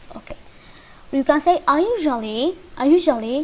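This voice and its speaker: A woman with a Kurdish accent and lively intonation. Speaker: English teacher. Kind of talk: lesson. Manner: halting.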